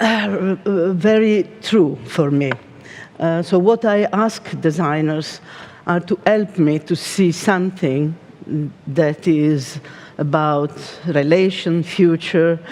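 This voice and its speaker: A woman's fairly low voice at a very slow pace, with long, frequent pauses, ordinary pitch variation and very even loudness. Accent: Italian. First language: Italian. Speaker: design company art director. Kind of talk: keynote talk. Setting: stage with audience. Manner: halting.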